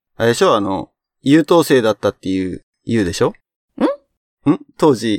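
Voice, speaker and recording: With long, frequent pauses and very wide pitch swings, a man speaks at a moderate pace in a medium pitch, the sound dry and close with no echo. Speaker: podcast host. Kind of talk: casual chat.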